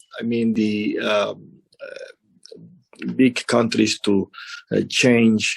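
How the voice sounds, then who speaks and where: A man speaks with a Spanish accent. His pace is very slow. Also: dry, close sound with no echo. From Venezuela. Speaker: embassy representative. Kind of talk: interview. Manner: halting, many fillers.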